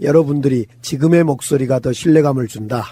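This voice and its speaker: Moderate pace and ordinary pitch variation from a man with a somewhat breathy voice. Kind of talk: voice suited to rock.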